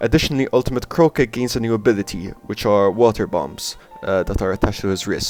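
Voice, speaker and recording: Over background music, a man with a medium pitch talks at a very fast pace. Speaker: art and cartoon video creator. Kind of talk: casual narration over drawing video. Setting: home recording, poor audio.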